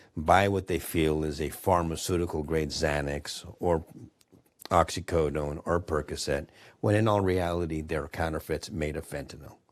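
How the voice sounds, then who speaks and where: On a very clean recording with a silent background, a man with an American accent speaks at a moderate pace. His voice is very deep and low, with fairly even intonation. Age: 60s. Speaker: bereaved parent and advocate. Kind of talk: panel discussion.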